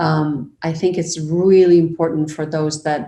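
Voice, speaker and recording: Her pitch is very deep and low, and her tone is dark and mellow. The woman speaks at a fairly slow pace. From Argentina. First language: Spanish. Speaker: media professional. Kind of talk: interview conversation.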